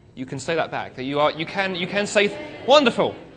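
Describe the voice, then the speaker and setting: With a British accent, a man speaks at a fairly quick pace. His pitch swings very widely. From UK. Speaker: speaker. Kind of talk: talk to an audience. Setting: stage with audience. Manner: humorous, conversational.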